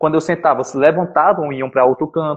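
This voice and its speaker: A man is speaking. His pace is very fast. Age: 20s. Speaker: podcast host. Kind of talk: casual chat.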